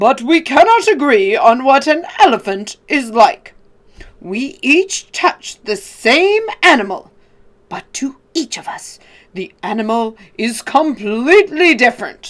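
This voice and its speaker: In a put-on character voice, the speaker goes high in pitch with very wide pitch swings at a fairly slow pace. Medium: read story.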